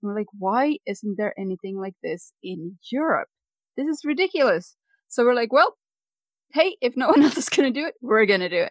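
A woman speaks in a Swedish accent at a high pitch and a moderate pace. Her voice has very wide pitch swings and big swings in loudness, recorded with a dry, close sound and no echo. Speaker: dietary coach, retreat organiser. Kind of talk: interview. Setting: home podcast studio.

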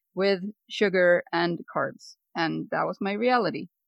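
A woman speaks at a medium pitch. She has a Swedish accent. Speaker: dietary coach, retreat organiser. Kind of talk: interview. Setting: home podcast studio.

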